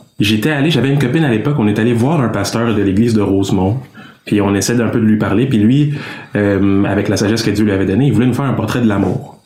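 A man with a fairly low voice talks at a very fast pace with very even loudness and ordinary pitch variation, over noticeable background noise and audible room echo. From Quebec, Canada (Congolese parents). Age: 20s. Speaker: engineering student and Bible narrator. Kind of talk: casual interview.

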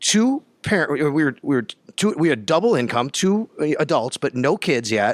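A man with a Western New York accent, fairly high in pitch, at a moderate pace with very wide pitch swings, on a very clean recording with a silent background and a dry, close sound with no echo. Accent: Western New York (Inland North). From Buffalo, Western New York. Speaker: sports radio reporter. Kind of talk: interview. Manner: animated.

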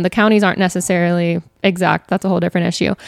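The audio is dry and close, with no echo. The speaker is a woman. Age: 20s. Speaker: attorney. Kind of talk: casual chat.

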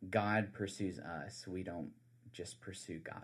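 A man's fairly low voice in a South Carolina accent, at a very slow pace. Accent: Southern US (South Carolina). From US South, South Carolina Low Country. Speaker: campus minister. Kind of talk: casual interview. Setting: studio. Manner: hesitant, many fillers.

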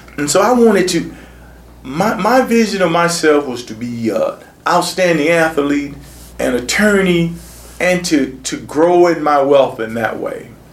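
Speaking at a fairly slow pace with lively intonation, a man with a high pitch is heard over noticeable background noise. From Sarasota, Florida. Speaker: community activist and former city commissioner. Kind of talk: oral history interview.

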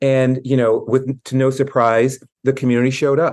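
A man with an American accent speaks at a moderate pace and medium pitch in a plain, everyday voice, with a quiet background. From US South, Tennessee. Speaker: arts executive. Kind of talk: interview.

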